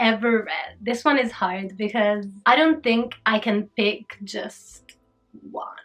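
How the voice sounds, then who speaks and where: A woman with an Italian accent speaks at a fairly slow pace and fairly high pitch. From Italy, Rome. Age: 30s. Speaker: YouTuber and dancer. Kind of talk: casual chat.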